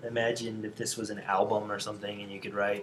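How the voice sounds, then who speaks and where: A man talks at a fairly quick pace in a fairly low pitch, his intonation monotone and flat. Room echo is audible. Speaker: design instructor. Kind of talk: lecture. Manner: fast; casual.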